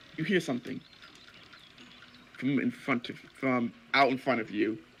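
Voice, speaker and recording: The speaker moves at a moderate pace with ordinary pitch variation. Noticeable background noise is present. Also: man, medium pitch for a man. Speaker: game master. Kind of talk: tabletop roleplaying narration.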